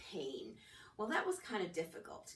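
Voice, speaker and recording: A woman talks at a fairly quick pace with a medium pitch. There is audible echo from the room. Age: 60s. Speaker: testimonial speaker. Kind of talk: testimony. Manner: casual, halting with fillers.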